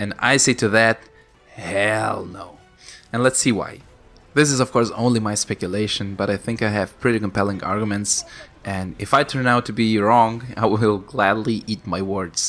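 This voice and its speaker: A man with a fairly low pitch talks at a moderate pace, his pitch varying in an ordinary way, as music plays in the background. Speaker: gaming youtuber. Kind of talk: casual commentary.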